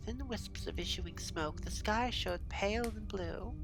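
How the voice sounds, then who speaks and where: Music plays behind a woman speaking at a moderate pace. Her tone is soothing. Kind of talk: audiobook-style reading aloud of a novel.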